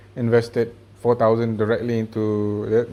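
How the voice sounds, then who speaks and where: The man's voice sits at a medium pitch. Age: 20s. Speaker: personal finance vlogger. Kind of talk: casual video update. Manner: fast.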